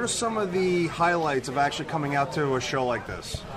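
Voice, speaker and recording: The speech moves at a fairly quick pace with ordinary pitch variation, over noticeable background noise and audible room echo. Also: man. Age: 30s. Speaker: podcast host. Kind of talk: convention interview. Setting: game convention floor.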